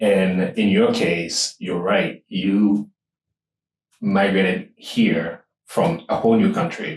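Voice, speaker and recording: A man with a Ghanaian accent, speaking at a very slow pace. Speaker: podcast host. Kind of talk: casual interview chat.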